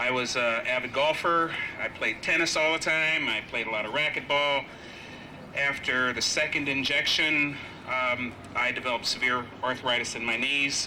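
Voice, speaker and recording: A man speaks at a moderate pace in a fairly high voice with fairly even intonation. Noticeable background noise runs underneath. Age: 50s. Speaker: physical therapist speaking as vaccine trial patient. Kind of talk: rally speech. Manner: hesitant, many fillers.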